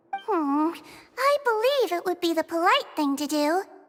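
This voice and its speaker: A squeaky, put-on character voice at an extremely high pitch speaks in an amused tone at a moderate pace. Music plays in the background. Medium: video game. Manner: polite, amused.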